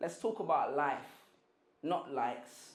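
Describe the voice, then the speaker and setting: A man talks with a London accent. His pace is very slow. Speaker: spoken word poet. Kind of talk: spoken word poetry performance.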